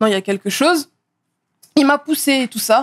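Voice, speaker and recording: A woman speaks fairly quickly. Her pitch moves with ordinary variation. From Paris region (Seine-Saint-Denis), France; Paris region, France. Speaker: model and influencer; podcast guest. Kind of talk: casual interview; interview answer. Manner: hesitant, many fillers. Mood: calm, reflective. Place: studio. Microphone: studio mic.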